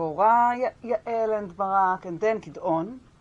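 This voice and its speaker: This woman has a medium-pitched voice and speaks with a strong Israeli accent. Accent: Hebrew accent in English, strong. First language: Hebrew. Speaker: Bible scholar and teacher. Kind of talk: lecture. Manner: halting, with many fillers and restarts.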